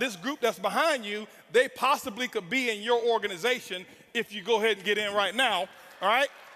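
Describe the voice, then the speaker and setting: Raising and projecting his voice, a man speaks at a fairly quick pace in an intense, animated tone that is bright and sharp. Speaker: network marketing speaker. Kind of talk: motivational speech. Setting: stage with audience. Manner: loud, intense.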